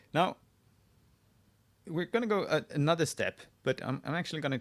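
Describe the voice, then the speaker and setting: A man speaks with a Swedish accent. His pitch swings very widely. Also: very clean recording, silent background. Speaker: wiki editor live-streaming. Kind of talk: live screen-share tutorial. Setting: live stream. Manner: halting, many restarts.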